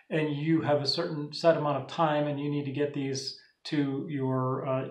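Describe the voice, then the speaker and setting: A man's fairly slow, monotone, flat delivery, with audible room echo against a quiet background. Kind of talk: tutorial. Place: home room. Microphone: phone near.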